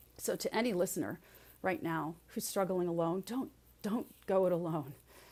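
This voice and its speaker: Using a plain, everyday voice, a woman speaks at medium pitch and a moderate pace with ordinary pitch variation. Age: 60s. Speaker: resilience speaker and leadership coach. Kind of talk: podcast interview.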